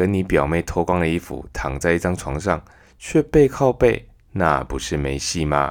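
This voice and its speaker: A man with vocal fry and a very deep, low pitch speaks at a moderate pace in a very clean recording with a silent background. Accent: Taiwanese. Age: 30s. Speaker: podcast host. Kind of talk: storytelling monologue.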